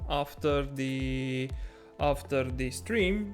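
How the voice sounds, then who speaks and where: The speaker goes at a very slow pace while music plays in the background. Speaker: video game streamer. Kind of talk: casual talk while commentating a game replay.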